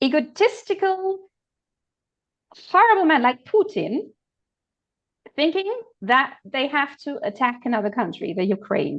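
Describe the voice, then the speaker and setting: A woman talks at a moderate pace, her pitch swinging very widely. Long pauses come often. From Germany. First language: German. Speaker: political commentator. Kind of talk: casual discussion.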